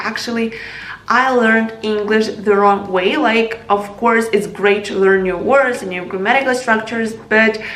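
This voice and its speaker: Noticeable background noise sits behind a woman at a fairly high pitch. Her intonation is monotone and flat, her pace moderate. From Ukraine. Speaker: English learning vlogger. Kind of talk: casual talk to camera.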